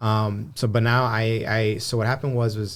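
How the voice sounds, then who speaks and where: A man with a Spanish accent and a fairly low-pitched voice. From Antelope Valley, Southern California. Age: 30s. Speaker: marketer and loan broker. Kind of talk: casual podcast interview. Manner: frequent fillers and repetitions.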